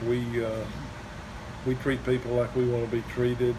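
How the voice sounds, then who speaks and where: At a moderate pace, a man with a medium-pitched voice talks amid noticeable background noise and audible room echo. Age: 70s. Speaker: bicycle repair shop owner. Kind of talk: interview. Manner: halting.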